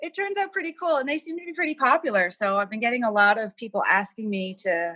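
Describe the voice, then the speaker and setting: The tone is bright and sharp, with very wide pitch swings. The pace is very fast. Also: woman, fairly high pitch for a woman. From Cape Breton, Nova Scotia (North Sydney). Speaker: artist. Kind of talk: casual interview.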